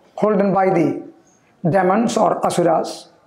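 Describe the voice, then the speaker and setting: At a fairly slow pace, a man speaks with audible room echo. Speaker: yoga or spiritual teacher. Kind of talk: storytelling lecture. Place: studio. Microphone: lapel.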